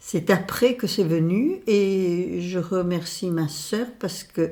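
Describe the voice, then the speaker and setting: A dark, mellow tone with ordinary pitch variation. The pace is very slow. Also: woman, medium pitch for a woman. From southwest France, Pau. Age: 80s+. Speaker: retired association president, activist. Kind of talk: interview. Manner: hesitant with fillers.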